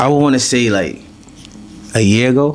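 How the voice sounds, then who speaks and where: A man's medium-pitched voice at a fairly quick pace, with ordinary pitch variation over noticeable background noise. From Brooklyn, New York. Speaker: drill rapper. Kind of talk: interview. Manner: casual, hesitant with many fillers.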